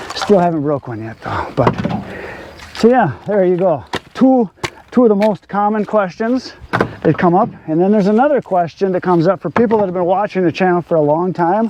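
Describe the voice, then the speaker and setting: Against noticeable background noise, a man talks fairly quickly in a high voice with lively intonation. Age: 60s. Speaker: firewood seller and video channel owner. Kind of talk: casual Q&A monologue while working. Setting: outdoors in a wood yard.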